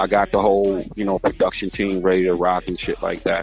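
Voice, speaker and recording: With music in the background, a man speaks fairly quickly in an American accent. His fairly low voice stays flat and monotone. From Baltimore, Maryland. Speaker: rapper and actor. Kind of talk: podcast interview. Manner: casual, repetitive with false starts.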